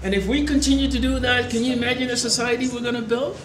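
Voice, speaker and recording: An animated man's voice with audible room echo and noticeable background noise. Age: 70s. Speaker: election candidate. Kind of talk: campaign speech. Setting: event with live audience.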